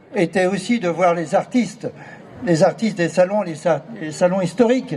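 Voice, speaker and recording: There is noticeable background noise as a man with a high pitch speaks at a fairly slow pace. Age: 70s. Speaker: artist, former art fair president. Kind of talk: speech at artists' meeting.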